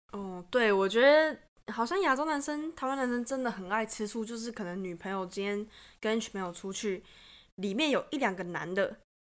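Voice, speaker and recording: This very clean recording has a silent background. A woman with a normal speaking voice talks with lively intonation at a fairly high pitch. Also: moderate pace. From Taiwan. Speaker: podcast guest, student abroad. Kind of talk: casual chat.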